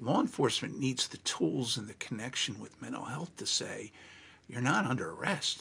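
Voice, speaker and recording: Speaking in a normal speaking voice with an American accent, a man talks at a moderate pace in a medium pitch, with lively intonation and big swings in loudness. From New Jersey, Monmouth County. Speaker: legal trainer and consultant. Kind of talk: interview.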